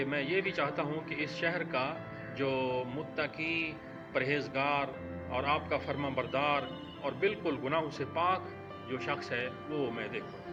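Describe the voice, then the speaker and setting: Over music in the background, a man with a fairly high pitch speaks with ordinary pitch variation. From Pakistan. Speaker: voice-over artist. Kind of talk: religious story narration.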